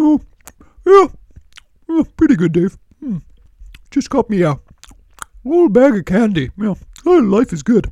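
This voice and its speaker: A fairly high-pitched put-on character voice with very wide pitch swings, a moderate pace and long, frequent pauses. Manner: cheerful, relaxed.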